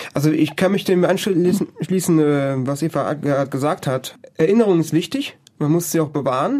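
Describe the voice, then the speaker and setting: With a dark, mellow tone and a fairly high voice, a man moves at a moderate speed while his pitch varies in an ordinary way. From Germany. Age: 20s. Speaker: project volunteer. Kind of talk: interview.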